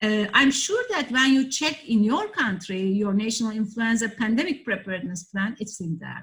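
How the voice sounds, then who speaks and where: In a Turkish accent, a woman speaks at a moderate pace with hardly any pauses, her fairly high voice carrying lively intonation. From Turkey. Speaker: professor, heritage disaster risk expert. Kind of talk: online lecture presentation. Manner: halting, frequent fillers.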